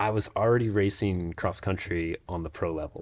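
A man with a plain, everyday voice and an American accent, fairly low in pitch, at a moderate pace, on a very clean recording with a silent background. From Jacksonville, Florida. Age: 40s. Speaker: mountain bike racer. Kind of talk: casual interview.

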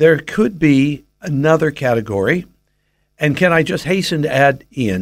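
An unremarkable speaking voice belongs to a man with an American accent who talks at a moderate pace with lively intonation. The recording is very clean, with a silent background. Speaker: Bible teacher. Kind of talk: radio interview on faith.

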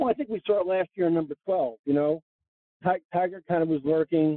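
A man speaks with an unremarkable speaking voice and an American accent, his pitch fairly high, his pace fairly quick and his intonation fairly even. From New York (Long Island). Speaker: golf instructor. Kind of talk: casual interview chat. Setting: in a car.

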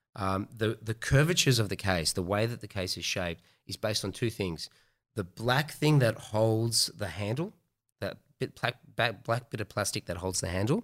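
Here a man with a fairly low pitch speaks at a moderate pace with ordinary pitch variation. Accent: Australian. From Australia, Melbourne. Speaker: entrepreneur. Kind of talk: casual chat.

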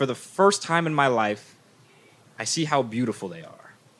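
With lively intonation and a bright, sharp tone, a man of medium pitch talks at a moderate pace. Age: 20s. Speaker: podcast host. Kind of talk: storytelling. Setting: stage with audience.

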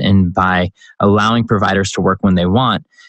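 In a normal speaking voice, a man with an American accent talks at a fairly quick pace and a fairly low pitch. The sound is dry and close, with no echo. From US Midwest, Chicago. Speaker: startup CEO and entrepreneur. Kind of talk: interview.

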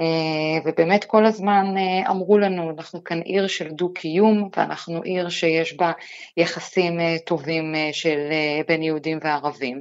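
Very slow speech from a woman, fairly low in pitch and fairly even in intonation. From Israel, Lod. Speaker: news reporter. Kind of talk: radio interview.

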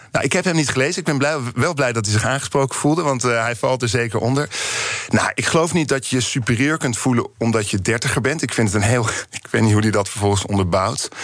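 Very fast pace with ordinary pitch variation. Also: man, medium pitch for a man. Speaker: writer and opinion maker. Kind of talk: radio interview. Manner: heated, agitated.

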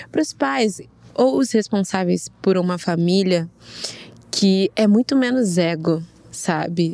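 Her tone is dark and mellow, her pitch medium, and her intonation lively. The woman goes at a very slow pace with long, frequent pauses and very even loudness. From Rio de Janeiro, Brazil. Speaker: guest, friend of guest. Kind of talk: casual chat.

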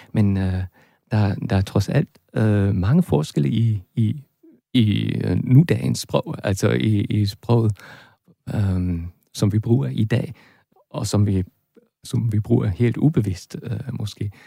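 A man speaks at a very slow pace with long, frequent pauses, his fairly low, somewhat breathy voice dark and mellow. His intonation is lively, in a dry, close sound with no echo. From northern Germany. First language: German (speaking Danish). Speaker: linguist and German lecturer. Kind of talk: interview. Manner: halting.

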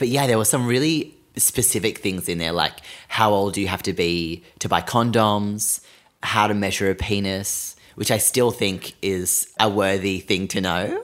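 On a very clean recording with a silent background, a man speaks at a fairly low pitch and a moderate pace with ordinary pitch variation. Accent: Australian. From Australia, Sydney. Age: 20s. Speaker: podcast host. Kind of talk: casual chat.

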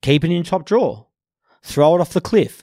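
In a very clean recording with a silent background, a man with an Australian accent speaks at a high pitch, the sound dry and close with no echo. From Sydney, Australia (Bondi, eastern suburbs). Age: 30s. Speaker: carpenter and former heavy metal band frontman. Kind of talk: casual interview.

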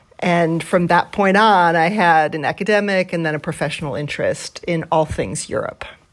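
Here is a woman with an ordinary speaking voice and a fairly low pitch. She keeps a moderate pace with fairly even intonation and hardly any pauses. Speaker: think tank president and former government advisor. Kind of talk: interview. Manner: formal.

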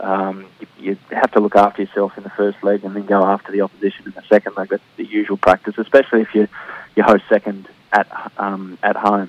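A man with a fairly low pitch talks at a very fast pace, his intonation monotone and flat while his loudness swings widely. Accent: Australian. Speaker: football broadcaster. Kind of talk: casual chat. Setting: phone call.

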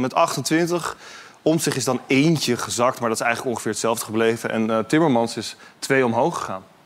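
With noticeable background noise, a man at a fairly high pitch speaks at a moderate pace with lively intonation. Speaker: political reporter. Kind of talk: casual panel discussion.

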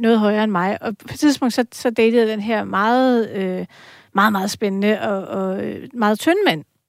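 A woman speaks at a moderate pace, fairly high in pitch with ordinary pitch variation. The recording is very clean, with a silent background. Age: 40s. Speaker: journalist and columnist. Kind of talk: casual chat. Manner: halting, many fillers.

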